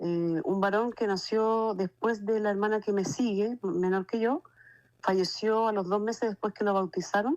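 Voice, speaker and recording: Over a quiet background, a woman with an ordinary speaking voice talks at a moderate pace and medium pitch, with ordinary pitch variation and very even loudness. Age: 60s. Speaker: testimony giver. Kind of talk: testimony. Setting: phone call.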